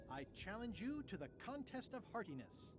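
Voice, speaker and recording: A put-on character voice at a fairly high pitch over loud background noise. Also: moderate pace. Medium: video game. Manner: wry, deadpan.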